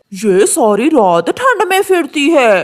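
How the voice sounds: A high-pitched cartoonish character voice with very wide pitch swings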